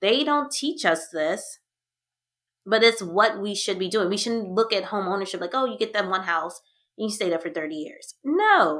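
A plain, everyday voice moves at a moderate pace with lively intonation in a very clean recording with a silent background. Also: woman, medium pitch for a woman. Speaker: podcast host. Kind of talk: casual chat.

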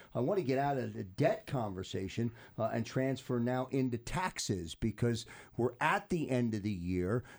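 This man has an ordinary speaking voice at a medium pitch. He talks at a moderate pace with lively intonation. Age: 50s. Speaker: radio host. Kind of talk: radio talk show.

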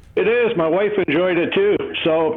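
The speaker has a Canadian accent and a moderate pace. Background noise is noticeable. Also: man. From Canada. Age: 70s. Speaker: caller. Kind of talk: casual chat. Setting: phone call.

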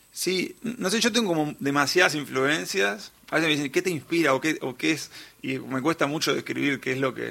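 The voice has a bright, sharp tone with vocal fry, lively intonation and a moderate pace. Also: man, fairly high pitch for a man. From Uruguay, Montevideo. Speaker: singer-songwriter. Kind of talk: radio interview.

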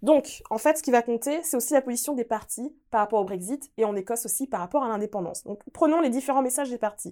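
Very fast and lively in intonation, a dark, mellow voice comes through a very clean recording with a silent background. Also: woman. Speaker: podcast co-host, politics segment presenter. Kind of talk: podcast chat, explaining political news.

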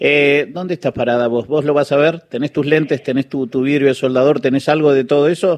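A man with an Argentine accent speaks at a fairly quick pace with hardly any pauses. His pitch is fairly high and his intonation fairly even. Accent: Argentine Spanish (voseo). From Trelew, Patagonia, Argentina. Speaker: radio host. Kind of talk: radio interview.

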